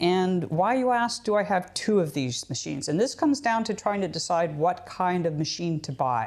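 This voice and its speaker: A woman with a Canadian accent speaks at medium pitch and a moderate pace with hardly any pauses and very wide pitch swings, on a very clean recording with a silent background. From Canada. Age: 60s. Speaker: potter. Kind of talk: tutorial. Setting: pottery studio. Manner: casual, conversational with fillers.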